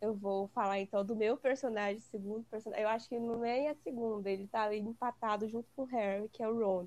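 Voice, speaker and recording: Fairly high-pitched and fairly even in intonation, an unremarkable speaking voice from a woman. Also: hardly any pauses. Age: 20s. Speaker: guest fan. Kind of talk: casual chat.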